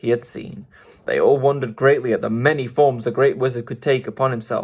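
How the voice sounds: Someone reads in a natural voice, keeping the intonation fairly even.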